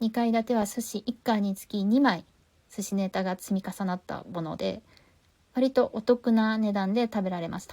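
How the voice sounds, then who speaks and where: A woman's somewhat breathy, dark and mellow voice, fairly high in pitch, with fairly even intonation and a moderate pace. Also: big swings in loudness. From Tokyo, Japan. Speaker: podcast host. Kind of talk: casual podcast review talk.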